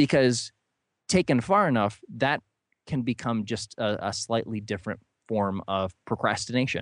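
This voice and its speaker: At a moderate pace, a man with a Midwestern American accent speaks at a medium pitch with ordinary pitch variation, in a dry, close sound with no echo. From US Midwest, northern Ohio. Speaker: author. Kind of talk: interview.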